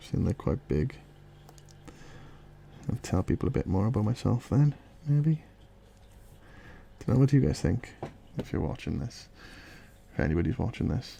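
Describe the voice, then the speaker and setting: Soft-spoken with a dark, mellow tone and vocal fry, a man talks at a moderate pace and medium pitch, with very wide pitch swings and long, frequent pauses. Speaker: illustrator. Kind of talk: casual drawing commentary.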